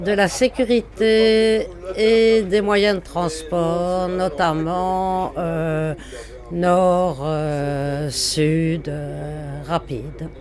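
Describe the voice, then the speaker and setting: A woman speaks in a fairly low pitch. Her pitch varies in an ordinary way. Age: 60s. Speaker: retiree, citizen interviewee. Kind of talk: vox pop testimony. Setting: mobile studio truck at a market.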